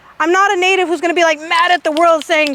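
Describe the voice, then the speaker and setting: Loud and animated, a woman with an American accent speaks at an extremely high pitch, the sound dry and close with no echo but with noticeable background noise. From California, near Hollister. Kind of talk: public talk to outdoor audience.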